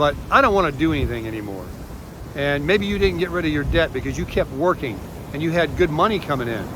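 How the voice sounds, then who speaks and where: A man talks at a very fast pace and a fairly high pitch. Background noise is noticeable. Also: lively intonation. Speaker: retiree vlogger. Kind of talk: casual vlog monologue. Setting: outdoors on a beach.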